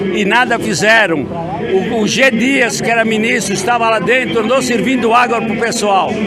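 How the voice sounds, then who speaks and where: A man's raised, projected voice at an extremely high pitch, fairly even in intonation, with audible room echo and crowd noise in the background. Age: 70s. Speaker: protester. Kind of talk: street interview.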